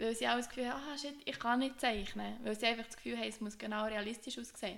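Someone talks at a very fast pace with ordinary pitch variation. Noticeable background noise fills the recording. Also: woman. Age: 20s. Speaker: podcast co-host, occupational therapy student. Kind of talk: casual chat.

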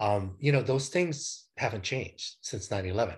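At a moderate pace, a man talks with lively intonation and a somewhat breathy voice. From Hawaii (Honolulu). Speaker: business travel and events consultant. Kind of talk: interview.

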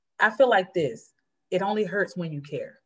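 This woman sounds somewhat breathy. Her pitch varies in an ordinary way. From North Carolina. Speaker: church member. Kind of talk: testimony.

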